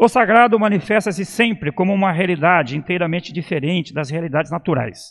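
The background stays quiet as a man talks in a high pitch. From Brazil, São Paulo. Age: 60s. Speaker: esoteric lecturer. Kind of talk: lecture. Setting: temple with audience. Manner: formal.

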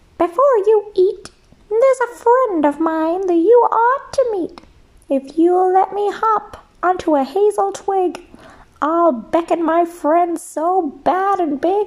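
This put-on character voice sits at an extremely high pitch. It sounds squeaky. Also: fairly slow pace. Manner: calm, sly, persuasive.

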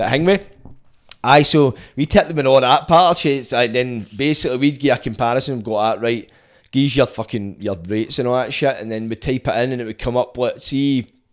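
In a Scottish accent, a man speaks at a fairly quick pace. The background is quiet. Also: medium pitch for a man, ordinary pitch variation. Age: 30s. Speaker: podcast host. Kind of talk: casual chat.

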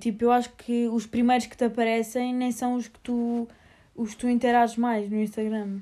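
A woman speaks at a high pitch with a dark, mellow tone. Her pace is moderate. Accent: European Portuguese. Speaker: podcast co-host. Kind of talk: casual chat. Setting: lying in bed at night.

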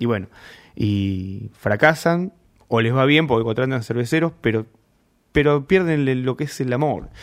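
On a very clean recording with a silent background, a man with a Rioplatense accent speaks at a fairly slow pace with lively intonation and long, frequent pauses. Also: medium pitch for a man. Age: 40s. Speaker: homebrewer and beer judge. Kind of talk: interview. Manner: halting.

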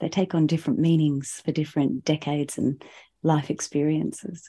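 A woman with an Australian accent talks at a moderate pace, her pitch very deep and low. Her tone is dark and mellow, and the background is quiet. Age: 40s. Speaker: singer-songwriter. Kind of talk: casual chat.

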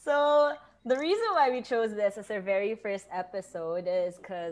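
A woman speaks in a plain, everyday voice at a medium pitch. Her intonation is lively and her pace moderate. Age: 20s. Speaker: podcast co-host. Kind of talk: casual chat.

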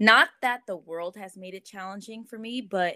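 With an American accent, a woman speaks in a bright, sharp tone. Her pitch varies in an ordinary way. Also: very clean recording, silent background. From Southern California. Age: 20s. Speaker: church creative director. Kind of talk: podcast interview. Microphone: echoey audio.

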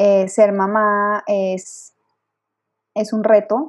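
With a Colombian accent, a woman speaks at a medium pitch in a monotone, flat intonation. The background is quiet. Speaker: lactation consultant. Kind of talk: interview.

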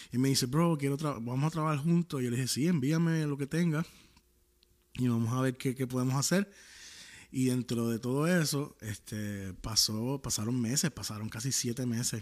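A man with a Puerto Rican accent speaks at medium pitch and a moderate pace, with ordinary pitch variation. The recording is very clean, and the background is silent. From Puerto Rico. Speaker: worship singer and former pastor. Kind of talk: casual interview chat.

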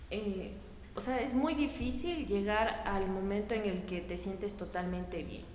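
Over noticeable background noise and audible room echo, a woman talks at a fairly slow pace with lively intonation and a medium pitch. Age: 20s. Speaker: team member. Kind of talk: casual group chat.

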